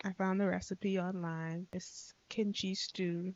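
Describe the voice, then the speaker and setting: A woman speaks in a relaxed tone at a fairly low pitch. Her intonation stays flat and monotone. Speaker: art vlogger. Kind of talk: casual chat. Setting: speaking to camera at home. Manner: low volume, relaxed; casual.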